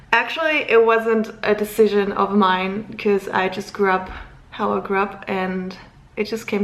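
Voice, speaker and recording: There is noticeable background noise behind the speaker. A woman talks with fairly even intonation. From Luxembourg. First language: German. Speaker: vlogger. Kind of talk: casual vlog talk to camera.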